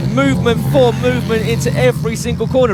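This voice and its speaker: The voice makes very wide pitch swings. Room echo is audible, and music plays in the background. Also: man. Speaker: motorsport commentator. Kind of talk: live commentary. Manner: animated; fast.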